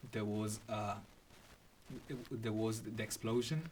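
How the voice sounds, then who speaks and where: Somewhat breathy, a man with a non-native accent speaks at a moderate pace. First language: not English. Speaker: podcast host. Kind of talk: casual chat.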